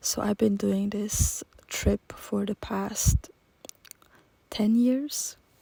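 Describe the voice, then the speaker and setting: A woman speaks very slowly at medium pitch, with long, frequent pauses and a flat, monotone delivery. Her voice is dark, mellow and somewhat breathy, with a dry, close sound and no echo. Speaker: journaling YouTuber. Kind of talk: casual vlog talk. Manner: halting.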